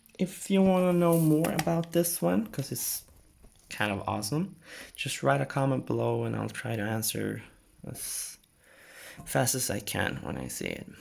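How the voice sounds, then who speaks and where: Speaking with a non-native accent, a man keeps a moderate pace but leaves long, frequent pauses. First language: not English. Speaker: gaming tech YouTuber. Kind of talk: tutorial. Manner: casual, hesitant with fillers.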